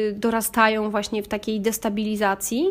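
A woman at a moderate pace, a plain, everyday voice, fairly high in pitch. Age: 30s. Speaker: podcaster, psychology student. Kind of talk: personal monologue.

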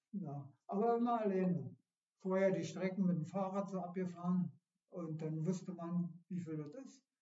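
A man speaks at a high pitch and a moderate pace. His intonation is fairly even. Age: 70s. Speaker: retired amateur runner. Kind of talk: casual interview. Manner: halting.

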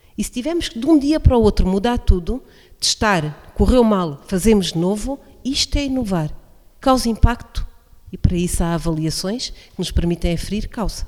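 A woman speaks with very wide pitch swings and big swings in loudness. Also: medium pitch for a woman, moderate pace. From Portugal, Alto Alentejo. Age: 40s. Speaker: coordinator of a social project for older people. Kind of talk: radio interview. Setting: radio broadcast from incubator premises, masks and distancing.

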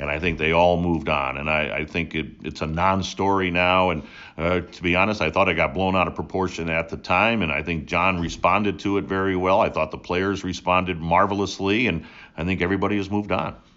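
Very deep and low, a man's voice carries an American accent and fairly even intonation. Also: fairly quick pace. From New England (New Hampshire), born upstate New York. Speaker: sports play-by-play announcer. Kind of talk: interview.

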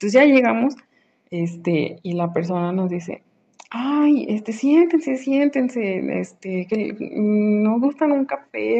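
At a fairly slow pace, a woman with a fairly high voice and a dark, mellow tone speaks with lively intonation. Her loudness swings widely. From Mexico, Aguascalientes. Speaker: listener sharing a story. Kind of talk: recorded voice message anecdote. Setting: voice note.

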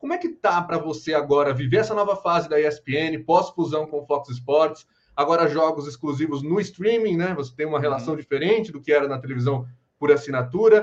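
An ordinary speaking voice from a man, fairly high in pitch, fairly quick, with ordinary pitch variation. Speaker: podcast host. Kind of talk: live video podcast interview.

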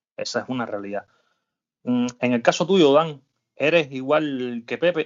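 A man's voice of medium pitch. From Cuba. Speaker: podcast host. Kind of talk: casual chat.

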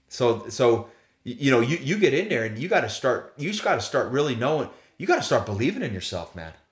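Somewhat breathy, a man races along at a very fast pace with very wide pitch swings. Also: medium pitch for a man. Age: 40s. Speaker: former professional baseball player, sales leader. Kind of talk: interview. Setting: in person at guest's home. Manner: casual.

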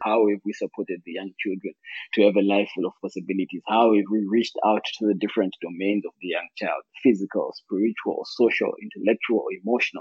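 This man talks at a fairly quick pace with a fairly low pitch. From Zimbabwe. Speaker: non-profit founder. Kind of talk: interview. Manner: halting.

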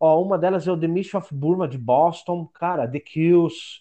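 In a quiet background, a man with a dark, mellow tone speaks fairly slowly with ordinary pitch variation. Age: 40s. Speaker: podcast contributor, history graduate. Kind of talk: casual interview.

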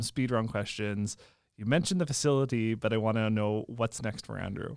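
A man's plain, everyday voice at medium pitch and a fairly quick pace, on a very clean recording with a silent background. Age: 30s. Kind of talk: casual interview.

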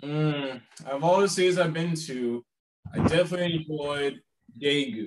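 A man with an American accent has a plain, everyday voice. His pitch is fairly high, with ordinary pitch variation. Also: moderate pace. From US South, South Carolina. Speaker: travel writer and teacher. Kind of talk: interview.

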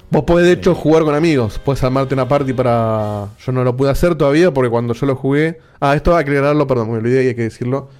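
Music in the background underlies very fast speech that has ordinary pitch variation and hardly any pauses. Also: man, medium pitch for a man. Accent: Rioplatense. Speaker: podcast host. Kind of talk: casual chat. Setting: video call.

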